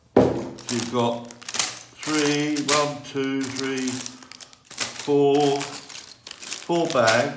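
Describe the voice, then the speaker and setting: A man speaks over noticeable background noise, with audible room echo. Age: 60s. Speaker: Lego hobbyist video creator. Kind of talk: tutorial. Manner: halting.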